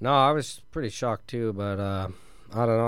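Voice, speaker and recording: A man with a Canadian accent talks at a moderate pace, with audible echo in the room. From rural Ontario, Canada. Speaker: professional hockey player. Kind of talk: casual interview. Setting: radio studio.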